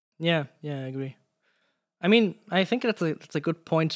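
A man with a German accent at a moderate pace, in a very clean recording with a silent background and a dry, close sound with no echo. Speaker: podcast host, sound designer. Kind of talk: interview conversation. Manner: halting.

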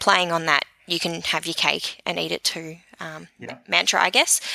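A woman's bright, sharp, fairly low voice in an Australian accent, at a moderate pace. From New Zealand. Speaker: social media marketing expert. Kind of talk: interview.

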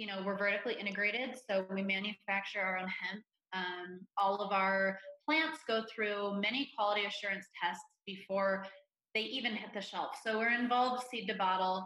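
In a normal speaking voice, a woman holds a medium pitch. She keeps a moderate pace with fairly even intonation. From Ohio, US Midwest. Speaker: influencer relations manager at a CBD company. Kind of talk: interview.

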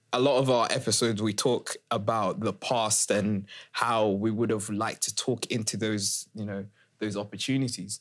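A man speaks at a moderate pace with a fairly low pitch. His intonation is monotone and flat, and the recording is very clean with a silent background. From Malawi, moved to UK as a child. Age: young. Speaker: podcast co-host. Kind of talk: casual chat.

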